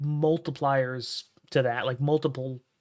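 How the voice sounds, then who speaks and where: A man with an American accent speaks in a monotone, flat intonation on a very clean recording with a silent background. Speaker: streamer. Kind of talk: casual livestream commentary. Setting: home livestream at night. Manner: soft-spoken; halting.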